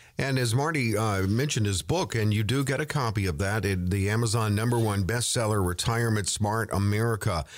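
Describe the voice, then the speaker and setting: A normal speaking voice at a fairly quick pace, with ordinary pitch variation, very even loudness and hardly any pauses. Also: man, fairly low pitch for a man. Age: 60s. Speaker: radio co-host. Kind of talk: radio talk show chat; reading out listener questions.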